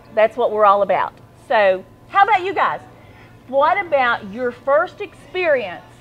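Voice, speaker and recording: A high-pitched woman with an Appalachian accent, very wide pitch swings and long, frequent pauses, over noticeable background noise. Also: fairly slow pace. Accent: Appalachian country. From Central Appalachia. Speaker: talk show host. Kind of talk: casual chat.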